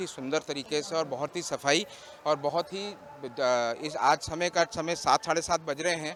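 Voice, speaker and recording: Noticeable background noise surrounds a man's voice. His pitch is fairly high and his intonation fairly even. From Meerut. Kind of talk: interview statement.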